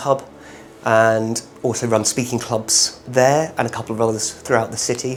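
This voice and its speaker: A man speaks with a British accent at a moderate pace. His pitch is medium. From UK. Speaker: volunteer English teacher. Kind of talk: interview testimony. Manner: hesitant fillers.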